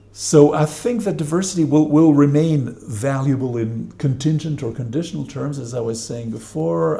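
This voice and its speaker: Audible room echo surrounds a man who speaks at a moderate pace, medium pitch and with lively intonation. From Switzerland. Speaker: professor. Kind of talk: panel discussion.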